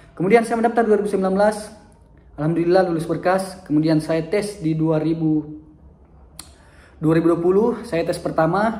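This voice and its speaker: At a fairly quick pace, a man speaks in a high pitch, with audible room echo. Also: ordinary pitch variation. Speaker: teacher and vlogger. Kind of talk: personal storytelling vlog. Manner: halting, with fillers and self-corrections.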